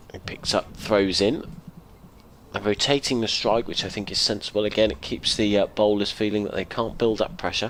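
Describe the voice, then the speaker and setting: Speaking at a fairly quick pace, a man uses a normal speaking voice with fairly low pitch and ordinary pitch variation. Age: 60s. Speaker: radio cricket commentator. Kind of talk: live commentary.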